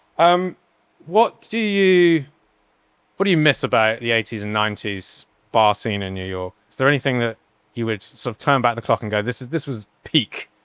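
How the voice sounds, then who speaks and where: This very clean recording, with a silent background, features a man with an English accent at a medium pitch. His pitch swings very widely. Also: moderate pace. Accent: generic English. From England. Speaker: podcast host, bartender. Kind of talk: casual interview conversation.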